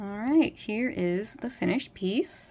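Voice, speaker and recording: A woman with vocal fry speaks at a medium pitch, her voice swinging very widely in pitch, on a very clean recording with a silent background. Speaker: artist. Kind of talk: art tutorial commentary.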